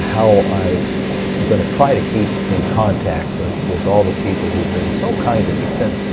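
Over loud background noise, a man talks at a fairly slow pace with ordinary pitch variation. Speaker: motorcycle vlogger. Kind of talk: voice-over narration about personal health. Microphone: handheld.

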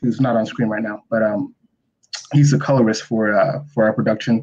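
A man's dark, mellow voice at a fairly quick pace, with ordinary pitch variation. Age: 20s. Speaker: comic book writer. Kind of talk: casual interview. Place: home room. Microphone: video call.

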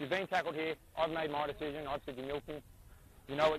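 A man with an Australian accent at a very fast pace, over light background noise, in a dry sound with no echo. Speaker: rugby league referee. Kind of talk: on-field instructions. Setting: outdoors. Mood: firm, authoritative. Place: stadium. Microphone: headset.

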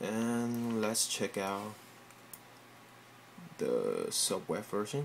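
A man with a non-native accent at a very slow pace, with long, frequent pauses over light background noise. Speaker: software developer. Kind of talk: casual tech demo. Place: home room. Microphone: phone near.

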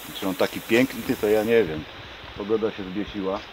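A man with a fairly low pitch talks at a moderate pace while noticeable background noise fills the recording. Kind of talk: casual vlog chat. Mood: wry, relaxed. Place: open country. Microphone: phone near.

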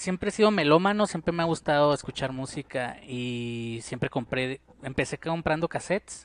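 A man with fairly high pitch speaks at a moderate pace with hardly any pauses, the sound dry with no echo. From Mexico, Parral, Chihuahua; Chihuahua, Mexico. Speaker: painter and musician; interviewee. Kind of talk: casual interview. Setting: at his home. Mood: calm, reflective. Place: home room. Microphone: headset.

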